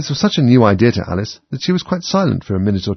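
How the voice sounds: The speaker has a natural reading voice.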